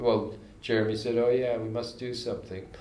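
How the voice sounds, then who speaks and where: There is audible room echo and noticeable background noise as a man speaks at a medium pitch and a moderate pace. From Canada, Montreal. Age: 80s+. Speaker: jazz composer and arranger. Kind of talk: casual interview. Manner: halting, with frequent restarts.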